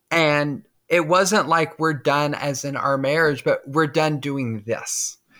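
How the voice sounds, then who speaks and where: In a very clean recording with a silent background, a woman speaks very slowly in a very deep, low pitch with ordinary pitch variation. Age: 40s. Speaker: army veteran and HR manager. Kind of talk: personal testimony in interview. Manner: halting, many fillers.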